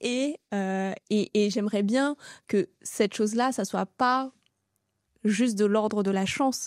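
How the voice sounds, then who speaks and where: A woman's fairly high voice with ordinary pitch variation, in a dry, close sound with no echo. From France, Seine-et-Marne (Paris region), Sri Lankan family. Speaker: restaurant entrepreneur. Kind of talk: interview testimony. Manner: hesitant, many fillers.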